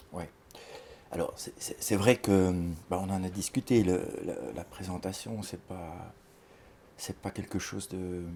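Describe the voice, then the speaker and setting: Very deep and low, a man's voice with a dark, mellow tone moves at a very slow pace with fairly even intonation, big swings in loudness and long, frequent pauses. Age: 60s. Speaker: criminologist and psychoanalyst. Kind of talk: interview. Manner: halting.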